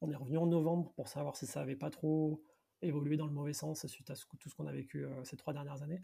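Very fast and somewhat breathy, a man's fairly high voice has a dark, mellow tone and monotone, flat intonation. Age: 30s. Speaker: entrepreneur and financial director. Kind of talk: podcast interview.

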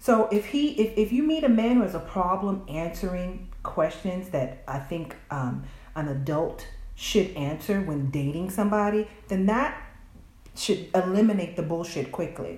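At a fairly slow pace and medium pitch, a woman with an American accent speaks with lively intonation, amid audible room echo and noticeable background noise. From US South. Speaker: podcast guest. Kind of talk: casual chat.

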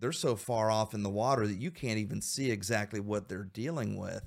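With an unremarkable speaking voice, a man talks at fairly low pitch with ordinary pitch variation in a very clean recording with a silent background. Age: 50s. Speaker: podcast host. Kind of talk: faith-based discussion podcast.

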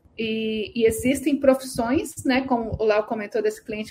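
There is noticeable background noise. Over it, a woman speaks at a fairly high pitch. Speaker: immigration consultant. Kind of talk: live Q&A stream.

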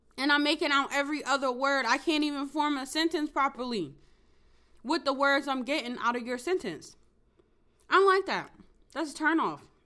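A woman uses a raised, projected voice with ordinary pitch variation and long, frequent pauses. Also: moderate pace. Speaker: podcast host. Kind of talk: casual solo monologue. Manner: hesitant, many fillers.

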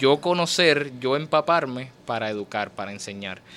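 Here is a man with a normal speaking voice. His pitch is medium and his pace moderate. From Puerto Rico, Fajardo. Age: 20s. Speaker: poet and writer. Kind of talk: interview.

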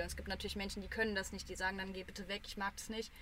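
A woman with medium pitch speaks in a bright, sharp tone. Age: 20s. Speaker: media studies student. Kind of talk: casual chat.

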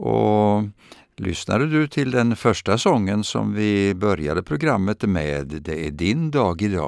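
Very slowly, a man speaks at a fairly low pitch, his voice swinging very widely up and down. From Sweden, Östergötland (Vadstena). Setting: radio studio.

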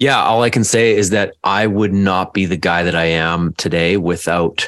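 A man with a normal speaking voice talks fairly slowly at a fairly low pitch with ordinary pitch variation, in a dry, close sound with no echo. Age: 30s. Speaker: men's coach and addiction counsellor. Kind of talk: casual chat.

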